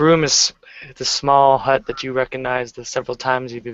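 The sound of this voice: An unforced reading voice carries the whole clip.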